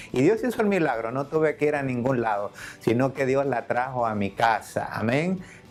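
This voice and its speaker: Against noticeable background noise, a man at a medium pitch speaks at a moderate pace with lively intonation. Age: 60s. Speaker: church member giving testimony. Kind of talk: testimony.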